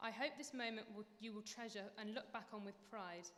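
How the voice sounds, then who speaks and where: This woman has a normal speaking voice with a fairly high pitch. Her pace is fairly quick. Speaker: dance lecturer. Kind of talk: graduation speech.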